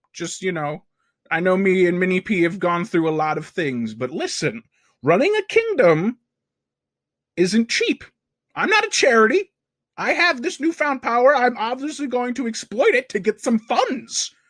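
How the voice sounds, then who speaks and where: A cartoonish character voice at a fairly high pitch moves at a moderate pace on a very clean recording with a silent background. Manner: rambling, chatty, self-important.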